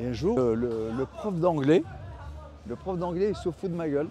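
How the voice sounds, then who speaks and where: A man with an Italian accent, fairly high in pitch, lively in intonation, with music in the background. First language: Italian (speaking French). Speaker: artist. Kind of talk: interview. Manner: halting.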